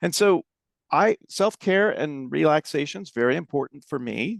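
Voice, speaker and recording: An unremarkable speaking voice moves at a moderate pace, with a dry, close sound with no echo and a quiet background. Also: man. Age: 60s. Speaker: nonprofit fundraising consultant. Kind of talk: podcast interview, casual chat.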